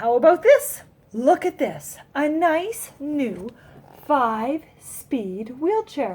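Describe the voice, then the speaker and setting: In a put-on character voice, the speaker goes at a very slow pace with very wide pitch swings. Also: woman, high pitch for a woman. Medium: read story.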